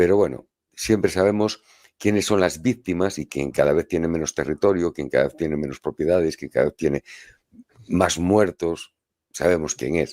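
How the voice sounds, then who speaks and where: A man talks at a moderate pace in a very deep, low voice with a dark, mellow tone. His pitch varies in an ordinary way, and the sound is dry and close with no echo. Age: 50s. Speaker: co-host, journalist. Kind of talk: casual discussion.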